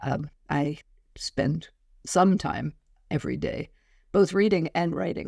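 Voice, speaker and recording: Speaking fairly slowly, a woman with a very deep, low voice and vocal fry shows ordinary pitch variation. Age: 60s. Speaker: professor, business coach and author. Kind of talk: interview. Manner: fluent, articulate.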